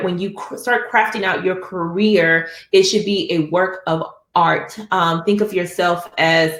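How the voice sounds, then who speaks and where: A woman uses a normal speaking voice at a medium pitch. She talks at a fairly slow pace with fairly even intonation. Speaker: architect and webinar presenter. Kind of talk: webinar presentation. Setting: online webinar.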